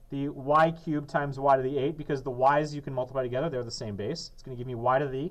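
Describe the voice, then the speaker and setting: Over audible room echo, a man with a fairly high pitch talks at a very fast pace, his loudness swinging widely while his intonation stays fairly even. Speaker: math teacher. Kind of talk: classroom lesson.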